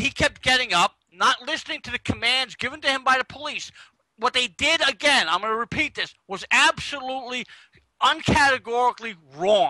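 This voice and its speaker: A man speaks in a raised, projected voice at an extremely high pitch and moderate pace, his tone bright and sharp, the sound dry and close with no echo. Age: 50s. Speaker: online talk show co-host. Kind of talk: casual panel discussion.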